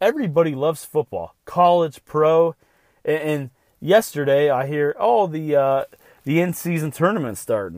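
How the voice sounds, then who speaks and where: A man with a fairly high pitch and a plain, everyday voice talks at a moderate pace with ordinary pitch variation, the sound dry and close with no echo. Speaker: sports podcast host. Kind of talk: solo podcast monologue. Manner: casual, with filler words.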